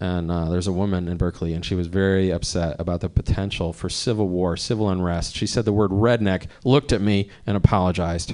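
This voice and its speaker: In an American accent, a man talks at a very fast pace with hardly any pauses. His pitch is very deep and low. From Cleveland, Ohio. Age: 40s. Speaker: stand-up comedian. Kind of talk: stand-up. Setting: stage with audience. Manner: animated.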